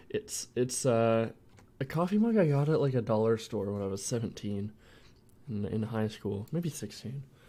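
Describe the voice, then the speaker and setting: Ordinary pitch variation marks this man's medium-pitched voice, which has a dark, mellow tone. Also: moderate pace. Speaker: indie game developer streamer. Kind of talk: casual livestream chat.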